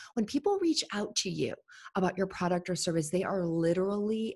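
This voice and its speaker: A somewhat breathy, animated woman's voice on a very clean recording with a silent background. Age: 30s. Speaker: entrepreneur and business coach. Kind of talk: podcast interview.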